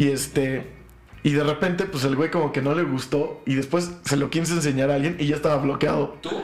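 A man talks at a fairly quick pace with fairly even intonation and a fairly high pitch. Noticeable background noise runs underneath. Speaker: podcast host. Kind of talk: casual chat.

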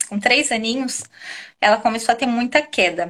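Fairly high female speech, ordinary in pitch variation. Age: 30s. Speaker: mother and restaurant owner. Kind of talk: testimony. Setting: live stream video call.

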